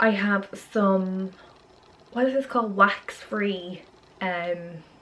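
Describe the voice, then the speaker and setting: A woman speaks with a Dublin accent in a bright, sharp tone. Her pace is very slow and her pitch is medium. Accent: Irish (Dublin area). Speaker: vlogger and fitness model. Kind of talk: vlog. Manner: casual, hesitant with fillers.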